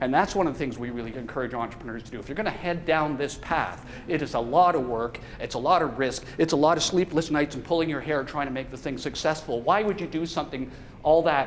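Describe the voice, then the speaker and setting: A man's fairly high voice at a very fast pace, ordinary pitch variation, and audible room echo. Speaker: professor. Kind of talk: lecture. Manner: casual.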